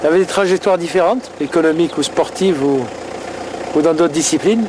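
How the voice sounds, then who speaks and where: In a Marseille accent, a man speaks very fast in a high voice at very even loudness, with noticeable background noise. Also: ordinary pitch variation. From France, Marseille. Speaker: businessman and documentary subject. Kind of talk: documentary conversation.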